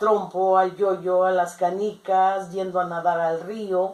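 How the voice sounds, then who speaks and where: This woman talks very slowly. Her voice sits at a medium pitch. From Mexico, Jalisco. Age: 60s. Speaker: interviewed grandmother. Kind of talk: oral history interview.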